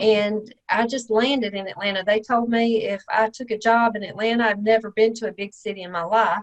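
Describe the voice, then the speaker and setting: A woman in a Mississippi accent, fairly high in pitch, with fairly even intonation and a moderate pace. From Mississippi, small town. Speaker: real estate investor, tax lien expert. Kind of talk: podcast interview.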